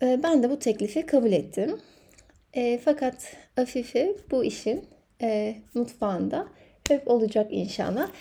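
A woman's high voice with a dark, mellow tone, lively intonation and a very slow pace. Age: 30s. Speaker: podcast host. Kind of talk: solo podcast monologue.

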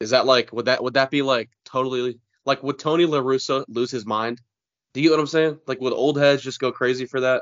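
This man has an ordinary speaking voice at medium pitch. He talks at a fairly quick pace with fairly even intonation. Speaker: podcast co-host. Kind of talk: casual sports podcast chat.

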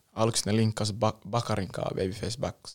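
Talking at a very fast pace, a man with a fairly low pitch keeps his intonation fairly even in a very clean recording with a silent background. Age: young. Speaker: rapper. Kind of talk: casual interview. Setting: studio.

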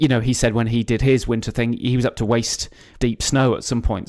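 With a southern English accent, a man speaks with fairly even intonation. The recording is very clean, with a silent background. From England, the Cotswolds. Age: 40s. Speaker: ultra runner. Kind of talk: casual interview. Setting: hotel room. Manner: halting, many repeated words.

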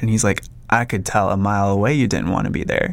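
Noticeable background noise sits behind a man with an American accent. He talks very fast at a fairly low pitch, with ordinary pitch variation. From Minnesota. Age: 30s. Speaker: photographer. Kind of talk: casual chat.

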